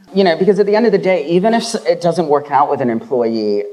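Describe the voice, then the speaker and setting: A man's pitch swings very widely as he goes at a fairly quick clip, with noticeable background noise behind him. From Hong Kong. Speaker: HR professional. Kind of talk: panel discussion.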